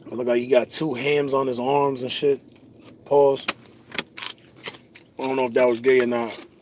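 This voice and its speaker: A man's flat, monotone delivery at a moderate pace, broken by long, frequent pauses, over noticeable background noise. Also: medium pitch for a man. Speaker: vlogger. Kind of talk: casual vlog monologue. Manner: casual, slangy.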